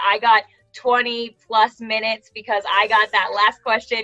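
In an American accent, a woman speaks with an animated tone at a fairly high pitch. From California. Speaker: author. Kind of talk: casual interview chat. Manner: animated, effusive.

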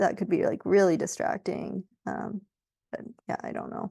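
At a moderate pace, a woman with an American accent speaks in a dry, close sound with no echo. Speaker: professional marathon runner. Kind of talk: interview. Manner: halting, many fillers.

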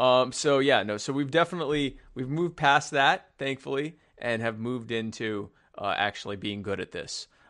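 A man with an unremarkable speaking voice, medium pitch and ordinary pitch variation, at a moderate pace with hardly any pauses, against a quiet background. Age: 30s. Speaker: podcast co-host, libertarian activist. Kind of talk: casual political chat.

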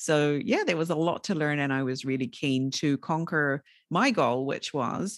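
A woman with a New Zealand accent and very deep, low pitch, lively intonation at a moderate pace, dry and close with no echo over a quiet background. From New Zealand, rural area. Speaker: podcast host and entrepreneur. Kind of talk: interview conversation.

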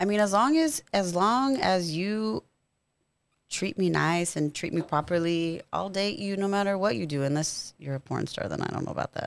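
Speaking in an American accent, a woman uses a plain, everyday voice at a medium pitch, with lively intonation and a moderate pace, on a very clean recording with a silent background. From Rio Grande Valley, Texas (Harlingen). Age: 30s. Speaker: strip club manager. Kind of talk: casual chat. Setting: studio.

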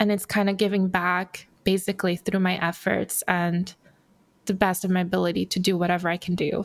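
Monotone, flat intonation at a fairly quick pace, with very even loudness on a very clean recording with a silent background. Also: woman, medium pitch for a woman. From Brazil, raised in Los Angeles. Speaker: furniture designer. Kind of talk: interview.

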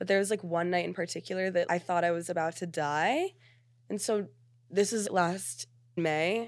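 Over a silent background in a very clean recording, a woman speaks at a moderate pace in an animated tone, with a fairly low pitch and ordinary pitch variation. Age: 20s. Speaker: social media creator. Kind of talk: casual chat.

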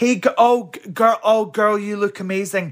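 A man speaks with a west of Scotland accent at a high pitch. The recording is very clean, with a silent background. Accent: Scottish (west of Scotland). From Scotland, Helensburgh near Glasgow. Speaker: drag performer. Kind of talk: casual interview chat.

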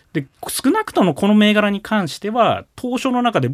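In a dry, close sound with no echo, a man talks at a fairly quick pace in a high pitch. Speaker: individual investor. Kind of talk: radio interview.

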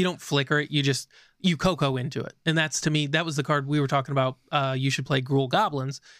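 On a very clean recording with a silent background, a man with a plain, everyday voice talks at a fairly quick pace and a fairly high pitch. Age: 30s. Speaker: podcast co-host. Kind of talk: casual chat.

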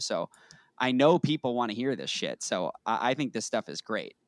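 A man with an American accent has an ordinary speaking voice, ordinary pitch variation and a moderate pace. The sound is dry and close with no echo, on a very clean recording with a silent background. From Boston. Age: 30s. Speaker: podcast host. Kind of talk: podcast interview.

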